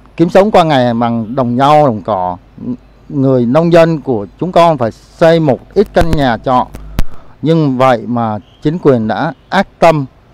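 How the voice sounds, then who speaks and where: With a dry sound and no echo, a man talks at a fairly slow pace using lively intonation. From Saigon, Vietnam. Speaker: farmer. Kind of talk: testimony. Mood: grieved, indignant. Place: garden. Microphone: handheld.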